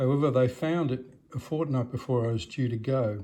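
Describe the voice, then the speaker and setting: With an Australian accent, this voice has a dark, mellow tone and comes across somewhat breathy. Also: man. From Australia, Melbourne. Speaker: retired doctor. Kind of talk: autobiographical talk to a club. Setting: club meeting with audience.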